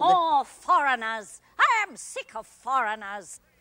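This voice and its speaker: Her pitch high and swinging very widely, a woman talks at a fairly slow pace. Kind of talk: Broadway stage acting. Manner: querulous, imperious.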